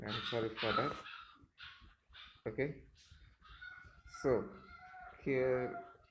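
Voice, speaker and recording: A man with a non-native accent talks at medium pitch, with audible room echo and noticeable background noise around him. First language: not English. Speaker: programming tutor. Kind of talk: tutorial. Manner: halting, many fillers.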